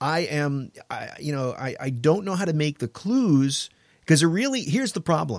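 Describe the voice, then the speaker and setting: An unremarkable speaking voice with an American accent carries lively intonation. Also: man. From New York. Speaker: talk radio host. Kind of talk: casual chat. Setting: studio.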